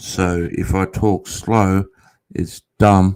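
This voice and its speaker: A man with an Australian accent on a very clean recording with a silent background. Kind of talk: casual, profane.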